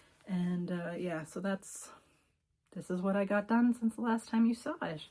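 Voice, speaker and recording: A woman's dark, mellow, somewhat breathy voice at a medium pitch, with ordinary pitch variation and a moderate pace. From Cape Breton, Nova Scotia, Canada. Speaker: knitting video podcaster. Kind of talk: casual show-and-tell chat. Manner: casual with frequent fillers.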